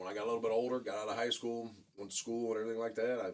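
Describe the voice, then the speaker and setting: Very fast speech comes from a man in an American accent. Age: 50s. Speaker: former drug dealer, business owner. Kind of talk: interview testimony. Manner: halting, repetitive.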